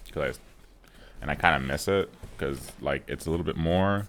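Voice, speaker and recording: Calm in tone, a man with vocal fry speaks at a fairly quick pace with ordinary pitch variation. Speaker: tech unboxing YouTuber. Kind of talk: unboxing video, casual monologue. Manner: calm, low-key; casual with many fillers.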